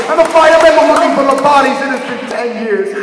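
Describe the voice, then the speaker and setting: With crowd noise in the background, a man speaks in an extremely high pitch with ordinary pitch variation. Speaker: slam poet. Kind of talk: slam poetry performance. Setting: live stage with audience.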